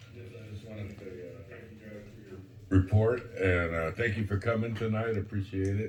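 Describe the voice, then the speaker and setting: A man with a fairly low pitch talks at a fairly quick pace and fairly even intonation, his loudness swinging widely over noticeable background noise. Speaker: city commissioner. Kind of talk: public meeting discussion.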